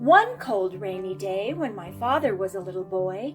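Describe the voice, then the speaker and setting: Music sounds behind the speaker. A woman talks at a very slow pace. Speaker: storyteller. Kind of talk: children's story read-aloud.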